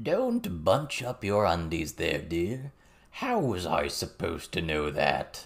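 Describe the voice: Very wide pitch swings run through a croaky, put-on character voice with vocal fry, delivered at a slow pace on a very clean recording with a silent background.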